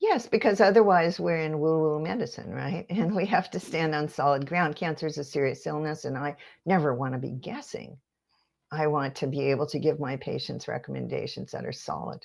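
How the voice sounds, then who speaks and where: A woman speaks at a fairly quick pace with vocal fry, a very deep, low pitch and ordinary pitch variation, against a quiet background. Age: 70s. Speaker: integrative medicine physician and acupuncturist. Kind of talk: interview.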